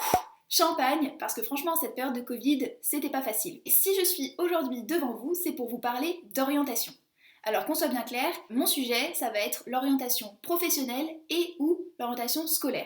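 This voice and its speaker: Her pitch is high and her intonation lively. A woman speaks at a moderate pace. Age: 20s. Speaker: YouTuber giving study and career advice. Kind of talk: casual vlog monologue.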